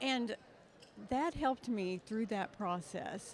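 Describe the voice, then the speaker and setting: In an American accent, a plain, everyday voice speaks at a fairly slow pace. Its pitch variation is ordinary. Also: woman. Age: 60s. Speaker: nonprofit executive and alumna. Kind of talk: interview.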